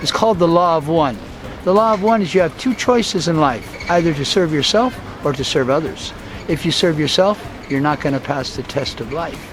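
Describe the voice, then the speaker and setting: The speaker has an American accent and lively intonation. Noticeable background noise can be heard. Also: man. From US and Guatemala. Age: 60s. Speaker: diving promoter and spiritual speaker. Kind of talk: interview.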